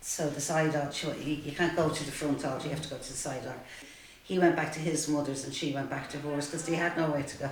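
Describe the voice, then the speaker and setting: A woman with a Dublin accent speaks at a fairly quick pace in a very deep, low pitch, her intonation fairly even, with audible room echo and noticeable background noise. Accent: Dublin Irish. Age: 60s. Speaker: support group participant. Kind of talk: testimony.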